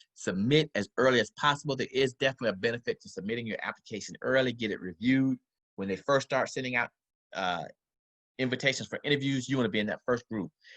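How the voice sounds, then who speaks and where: Talking very fast at a medium pitch with ordinary pitch variation, a man is heard against a quiet background in a dry, close sound with no echo. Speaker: medical school admissions advisor. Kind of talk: presentation with slides.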